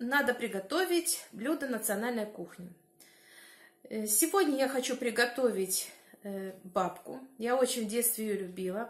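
A woman speaks at a fairly slow pace with long, frequent pauses. The background is quiet, but the room echo is audible. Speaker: village life vlogger. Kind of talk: casual vlog chat. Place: kitchen. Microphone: phone near.

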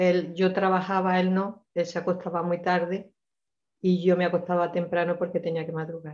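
In a quiet background, a woman with a fairly low pitch speaks at a moderate pace in a flat monotone. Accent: Andalusian. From Granada, Spain; Spain. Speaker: participant; guest. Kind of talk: personal testimony. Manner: halting. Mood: personal, reflective recollection. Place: home room. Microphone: video call.

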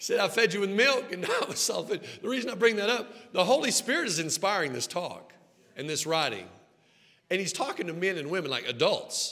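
With an American accent, a man projects a raised, high-pitched voice at a fairly quick pace, his pitch swinging very widely. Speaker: pastor. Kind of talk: sermon. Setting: church sanctuary with congregation. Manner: animated. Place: church. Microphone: headset.

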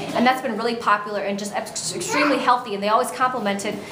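A woman is talking at a very fast pace, with loud background noise behind her. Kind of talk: casual guided tour of menu. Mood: proud, promotional. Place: cafe. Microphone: phone near.

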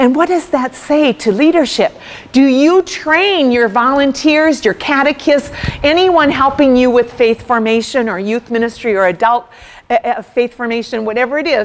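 A woman speaks in an American accent with a high pitch. Her intonation is lively. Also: moderate pace. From US Midwest, rural farm background. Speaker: speaker. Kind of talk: workshop talk. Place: hall.

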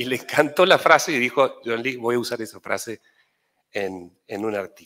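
Against a quiet background, a man of medium pitch speaks at a moderate pace with a bright, sharp tone and lively intonation. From Tucumán, Argentina. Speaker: journalist. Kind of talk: acceptance speech. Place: hall. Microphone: podium.

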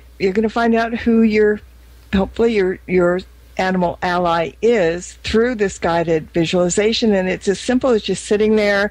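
Over a quiet background, a woman speaks in a plain, everyday voice at a moderate pace, medium in pitch with ordinary pitch variation. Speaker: radio host. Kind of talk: radio interview.

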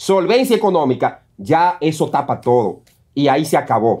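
With lively intonation, a man talks at a moderate pace against a quiet background. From Dominican Republic. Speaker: news show co-host. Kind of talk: opinion commentary. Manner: emphatic. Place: studio. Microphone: lapel.

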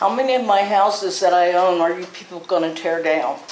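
A woman speaks at a medium pitch with ordinary pitch variation. Noticeable background noise and audible room echo are present. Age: 70s. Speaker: property owner at public hearing. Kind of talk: public hearing statement. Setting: city council meeting at podium.

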